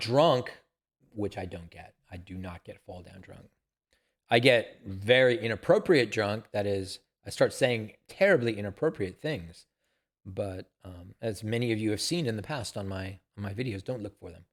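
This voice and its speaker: A man's normal speaking voice, fairly low-pitched, at a fairly slow pace with big swings in loudness, on a very clean recording with a silent background. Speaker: YouTube gamer and streamer. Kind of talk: casual vlog monologue.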